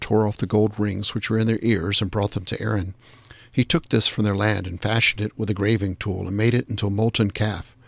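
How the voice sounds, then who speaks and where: A man with a fairly low pitch and a plain, everyday voice speaks at a fairly quick pace. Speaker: daily prayer leader reading devotional. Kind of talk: scripture reading and liturgical prayer. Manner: measured, formal, solemn.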